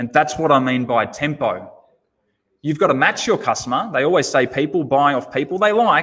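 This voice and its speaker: Lively intonation marks a man's unremarkable speaking voice, pitched fairly high. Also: moderate pace. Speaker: automotive sales trainer. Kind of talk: webinar presentation.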